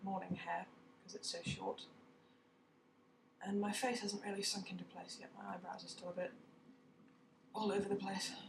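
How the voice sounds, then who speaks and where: A woman with a British accent at a moderate pace. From Britain. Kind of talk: casual vlog talk to camera.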